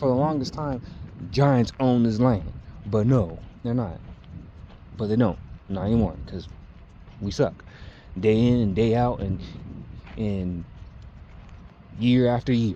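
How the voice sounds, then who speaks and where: With a dark, mellow tone, a man speaks at a medium pitch with ordinary pitch variation and long, frequent pauses. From California. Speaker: YouTuber. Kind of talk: casual vlog rant. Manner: halting, self-correcting.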